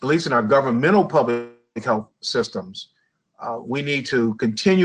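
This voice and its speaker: A man speaks in an American accent at a medium pitch. His pitch varies in an ordinary way. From Chicago, US Midwest. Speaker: public health association executive. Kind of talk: interview. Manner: halting, with many fillers.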